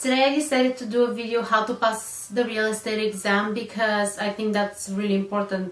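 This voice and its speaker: Over noticeable background noise, a woman with a non-native accent speaks fairly quickly with hardly any pauses. Her pitch is fairly high and her intonation monotone and flat. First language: not English. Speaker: real estate agent. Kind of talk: casual talk to camera.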